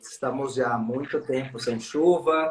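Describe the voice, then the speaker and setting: Very slow and somewhat breathy, the voice has a São Paulo interior accent and ordinary pitch variation. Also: man. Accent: paulista, São Paulo interior. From São Paulo state interior, Americana. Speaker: gymnastics expert guest. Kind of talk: casual live-stream chat. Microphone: sounds a bit quiet.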